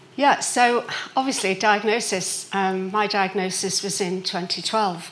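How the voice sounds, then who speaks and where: In a Liverpool accent, a woman speaks at a fairly slow pace and medium pitch, with audible room echo. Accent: Liverpool (Scouse). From Liverpool, England. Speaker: patient. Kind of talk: patient testimony talk.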